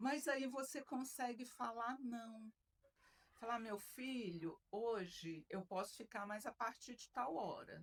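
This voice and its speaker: A woman speaks very slowly in a fairly high voice. Her pitch rises and falls in an ordinary way. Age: 60s. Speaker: retired military officer and mentor. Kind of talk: podcast interview.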